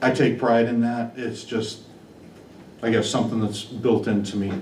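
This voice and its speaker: Amid noticeable background noise and audible room echo, a man speaks at a moderate pace in a flat monotone. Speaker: superintendent job candidate. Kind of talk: job interview.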